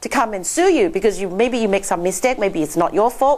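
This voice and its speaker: A woman's voice with a non-native accent over noticeable background noise. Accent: foreign. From Laos, Chinese family. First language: not English (English is her sixth language). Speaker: accountant, seminar speaker. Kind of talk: seminar presentation. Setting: stage with audience. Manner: animated.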